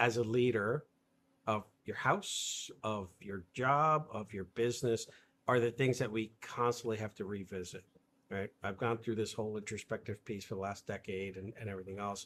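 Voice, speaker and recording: An ordinary speaking voice at a moderate pace on a very clean recording with a silent background. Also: man. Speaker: leadership coach and live stream interviewer. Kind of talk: casual interview conversation. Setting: live stream video interview.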